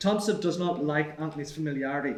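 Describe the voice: A man's fast, fairly high voice with ordinary pitch variation and audible room echo.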